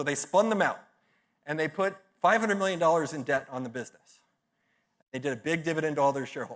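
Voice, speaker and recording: A man speaks at a very fast pace with a fairly high pitch, ordinary pitch variation and an American accent. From Texas, San Antonio. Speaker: business speaker and podcast host. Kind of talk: conference talk. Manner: animated.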